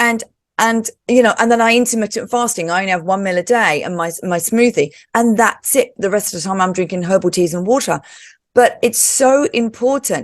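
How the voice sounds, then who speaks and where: An ordinary speaking voice, this woman talks at a fairly quick pace with a fairly high pitch and ordinary pitch variation. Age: 50s. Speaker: talk show host and yoga teacher. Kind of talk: casual interview chat.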